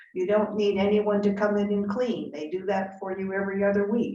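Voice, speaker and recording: Moderately paced speech from a woman at a medium pitch, over noticeable background noise. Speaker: retirement community resident, panelist. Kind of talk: panel discussion.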